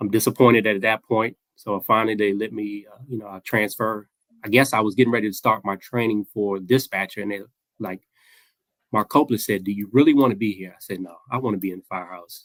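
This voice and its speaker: Recorded dry and close with no echo, a man with an American accent talks at a very fast pace and a fairly low pitch, his loudness swinging widely. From Maryland, Prince George's County. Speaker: retired firefighter. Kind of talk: casual interview storytelling. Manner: animated.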